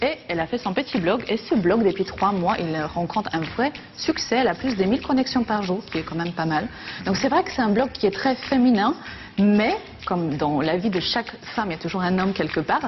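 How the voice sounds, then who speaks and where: Over noticeable background noise, a woman with a non-native accent speaks at a fairly quick pace, using medium pitch and lively intonation. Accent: foreign accent in French. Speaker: TV columnist. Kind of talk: TV chronicle segment, casual chat.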